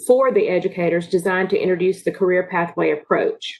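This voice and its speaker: With a normal speaking voice, a woman speaks at a medium pitch and a fairly quick pace, her intonation fairly even. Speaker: workforce program presenter. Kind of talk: online meeting presentation.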